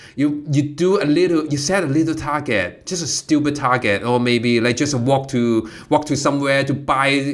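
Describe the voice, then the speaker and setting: With a Cantonese accent, a man speaks at a moderate pace and fairly high pitch, with hardly any pauses and ordinary pitch variation. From Hong Kong. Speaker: comedy student. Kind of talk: casual chat. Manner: halting.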